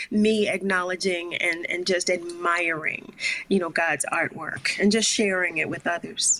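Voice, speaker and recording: A woman with an American accent, fairly low pitch and fairly even intonation, amid noticeable background noise. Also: fairly slow pace. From Philadelphia. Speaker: singer-songwriter. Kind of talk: interview answer.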